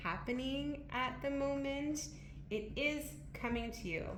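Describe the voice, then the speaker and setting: A woman talks at a fairly slow pace amid noticeable background noise and audible room echo. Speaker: tarot reader. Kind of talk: tarot reading.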